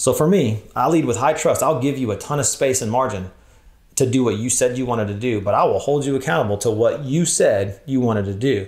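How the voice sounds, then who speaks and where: Speaking at a fairly quick pace, a man has a medium pitch, ordinary pitch variation and a somewhat breathy sound, with audible room echo. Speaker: church leader, workshop speaker. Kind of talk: conference workshop talk. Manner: fast.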